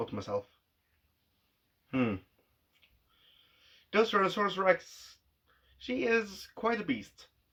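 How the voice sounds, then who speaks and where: In a very clean recording with a silent background, a man speaks at a moderate pace in a high pitch with very wide pitch swings. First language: not English. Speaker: vlogger. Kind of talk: casual monologue.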